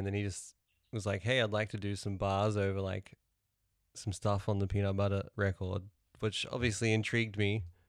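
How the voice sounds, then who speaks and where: With a New Zealand accent, a man speaks in a fairly low voice. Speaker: musician. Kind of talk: casual chat. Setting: video call.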